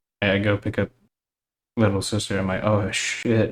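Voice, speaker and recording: A man talks with flat, monotone intonation. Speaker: solo podcaster. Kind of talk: casual monologue. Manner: slow.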